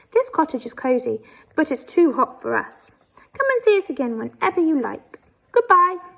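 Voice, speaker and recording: A woman uses a put-on character voice. Her pitch is extremely high and swings very widely. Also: moderate pace. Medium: read story. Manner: warm, friendly.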